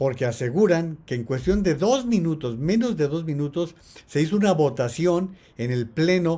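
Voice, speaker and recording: A man with a dark, mellow tone speaks at a fairly slow pace, his intonation lively. The recording is very clean, with a silent background. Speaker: political analyst and commentator. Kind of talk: live-stream commentary. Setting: live stream on social media.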